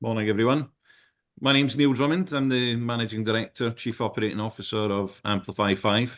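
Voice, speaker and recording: A man with a Scottish accent talks at a fairly quick pace in a medium-pitched voice with ordinary pitch variation. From Scotland. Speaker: outsourcing company executive. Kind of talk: panel webinar discussion.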